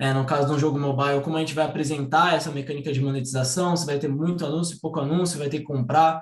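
Very fast and with hardly any pauses, a man speaks in a monotone, flat intonation. His voice is somewhat breathy and fairly high in pitch. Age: 20s. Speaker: game designer. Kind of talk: online talk presentation.

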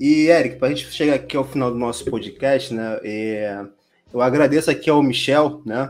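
His pace is moderate. The man's pitch is medium. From Brazil. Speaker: podcast host. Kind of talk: casual interview. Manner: hesitant, filler-heavy.

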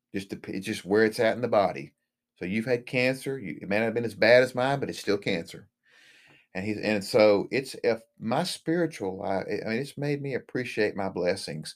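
This man has a normal speaking voice at medium pitch, with lively intonation and a fairly quick pace on a very clean recording with a silent background. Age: 50s. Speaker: marriage and family therapist, cancer patient. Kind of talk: interview testimony.

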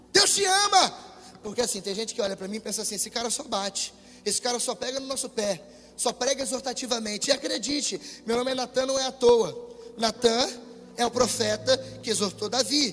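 A man with an extremely high pitch speaks at a fairly quick pace in a lively intonation, broken by long, frequent pauses. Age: 20s. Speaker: preacher. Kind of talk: sermon. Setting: church with congregation, livestreamed. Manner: animated.

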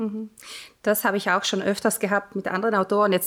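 A woman speaks at a moderate pace with a slight South Tyrolean accent. Her pitch is fairly high. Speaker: podcast host, author. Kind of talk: casual interview.

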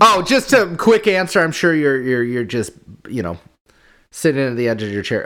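A man's medium-pitched voice with very wide pitch swings, on a very clean recording with a silent background. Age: 30s. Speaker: podcast co-host. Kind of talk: casual chat.

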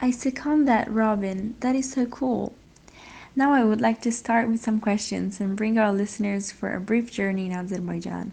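A woman speaks at a moderate pace with a somewhat breathy voice. Her intonation stays fairly even over a quiet background. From Italy. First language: Italian. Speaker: podcast co-host. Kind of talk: casual interview chat; reading aloud.

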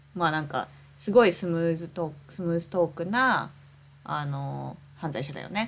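A woman speaking at a very fast pace with a Japanese accent. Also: fairly low pitch for a woman, ordinary pitch variation, big swings in loudness. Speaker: podcast co-host. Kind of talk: casual chat.

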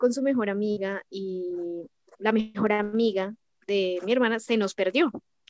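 This woman has an ordinary speaking voice at a medium pitch. Her intonation is fairly even, and the sound is dry and close with no echo. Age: 20s. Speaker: K-pop fan. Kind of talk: casual interview.

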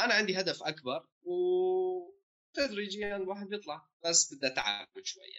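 With a Homs accent, a man speaks at a fairly slow pace with hardly any pauses and big swings in loudness. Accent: Levantine Arabic (Syrian, Homs). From Homs, Syria. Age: 20s. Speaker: young politician and bank trainee. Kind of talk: casual interview chat.

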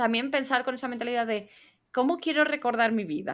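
The speaker is a woman with a high pitch. The recording is very clean, with a silent background. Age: 20s. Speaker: podcast co-host. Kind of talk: casual chat.

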